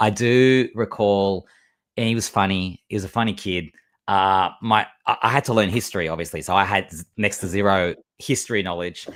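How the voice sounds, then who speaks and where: A man with an Australian accent speaks at a moderate pace, his pitch fairly low with ordinary variation. The recording is very clean, with a silent background. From Australia, Melbourne. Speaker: LEGO builder and content creator. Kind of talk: casual interview chat.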